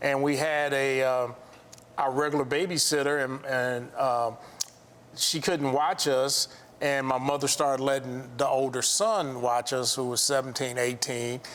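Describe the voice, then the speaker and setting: Delivered with an American accent, the voice keeps fairly even intonation and very even loudness. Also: man, medium pitch for a man. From US Midwest, South Side Chicago. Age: 60s. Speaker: architect and contractor, abuse survivor. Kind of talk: testimony. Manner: halting.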